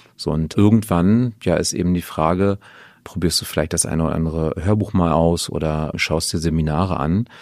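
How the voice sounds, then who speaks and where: A man's very deep, low voice with fairly even intonation, in a very clean recording with a silent background. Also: moderate pace. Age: 40s. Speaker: finance team leader. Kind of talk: casual chat. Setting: kitchen.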